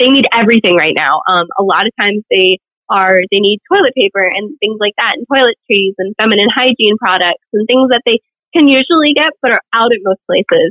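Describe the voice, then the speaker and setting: A woman with an ordinary speaking voice talks at a fairly quick pace, her fairly high pitch rising and falling with lively intonation. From Virginia, small town. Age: 20s. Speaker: pageant titleholder and nursing student. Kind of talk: interview.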